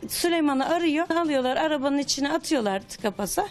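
Her pitch rises and falls over a very wide range. The woman moves along at a fairly quick pace. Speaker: relative of a deceased person. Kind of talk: testimony. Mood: serious, troubled. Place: home room. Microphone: handheld.

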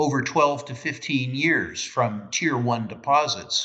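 A man's bright, sharp voice against a quiet background. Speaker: remote interview guest. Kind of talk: interview answer. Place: home room. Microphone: video call.

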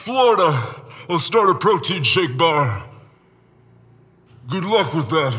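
The speaker uses a put-on character voice at a fairly slow pace, leaving long, frequent pauses. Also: man, high pitch for a man. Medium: stage.

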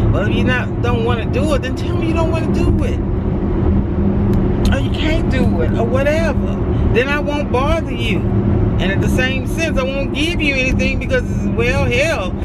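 A woman talks at a moderate pace with long, frequent pauses. The sound is dry with no echo, though loud background noise is present. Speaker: vlogger. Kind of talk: casual vlog chat. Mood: mildly frustrated. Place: car. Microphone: phone near.

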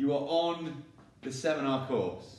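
A man's voice carries audible room echo. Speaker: gym coach. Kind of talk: promotional announcement to gym members. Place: gym. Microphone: camera far.

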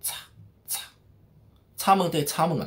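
At a moderate pace, a man with a Shanghai accent talks in an animated tone. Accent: Shanghainese, Shanghai-accented Mandarin. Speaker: street vlogger. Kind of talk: vlog narration. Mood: lively, humorous. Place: home room. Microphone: phone near.

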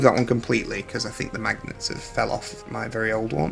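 A man talks at a moderate pace. Behind him, faint music plays in the background. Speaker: collectible figure reviewer. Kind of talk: product comparison review. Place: home room. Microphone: phone near.

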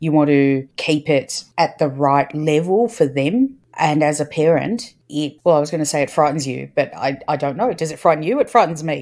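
A woman with a very deep, low pitch talks at a moderate pace with hardly any pauses and ordinary pitch variation. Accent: Australian. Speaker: podcast co-host and parent. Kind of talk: casual chat.

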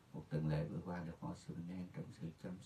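Somewhat breathy and dark, mellow in tone, a man's very deep, low voice comes through over light background noise. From rural Vietnam. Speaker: pastor. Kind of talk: sermon. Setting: video call. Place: office.

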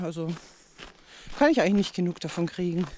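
A woman is heard over light background noise. The sound is dry with no echo. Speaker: vlogger. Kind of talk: casual vlog chat. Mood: reflective, calm. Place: waterside. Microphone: phone near.

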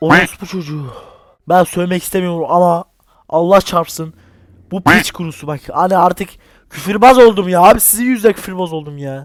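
With an animated tone, a man with a high pitch speaks at a moderate pace, showing ordinary pitch variation and big swings in loudness. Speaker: gaming YouTuber. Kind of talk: horror game let's play commentary. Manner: animated, exclamatory.

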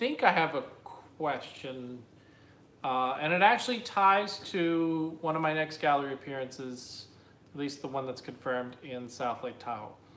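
There is audible room echo as a man with a fairly high voice speaks at a moderate pace. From New Jersey. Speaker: artist. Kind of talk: live Q&A stream. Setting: live video stream. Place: home room. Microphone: phone near.

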